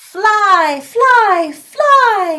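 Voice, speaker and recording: A woman's put-on character voice, squeaky and extremely high-pitched. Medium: read story. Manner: bellowing, broken speech.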